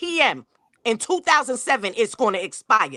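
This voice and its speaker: A raised, projected voice with very wide pitch swings comes at a moderate pace in a dry, close sound with no echo. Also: woman. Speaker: true crime livestream host. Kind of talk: heated debate. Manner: loud.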